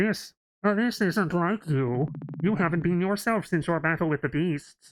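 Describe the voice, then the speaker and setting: A man uses a put-on character voice with a high pitch, ordinary pitch variation, very even loudness and a moderate pace, in a very clean recording with a silent background. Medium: game stream. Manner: formal, deferential.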